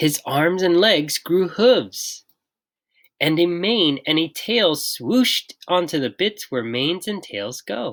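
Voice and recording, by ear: Speaking at a slow pace, a woman uses a fairly low pitch with lively intonation.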